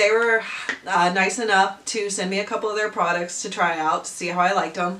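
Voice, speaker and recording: Noise behind the speech is noticeable. The speaking moves at a fairly quick pace. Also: woman. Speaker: lifestyle vlogger. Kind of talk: product review voiceover. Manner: casual, chatty.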